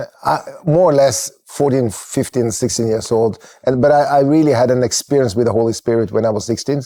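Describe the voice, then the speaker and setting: This man has a dark, mellow tone and a Norwegian accent. He talks at a fairly quick pace. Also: medium pitch for a man, ordinary pitch variation. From Norway, Kristiansand. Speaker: church network leader. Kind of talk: podcast interview. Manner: halting.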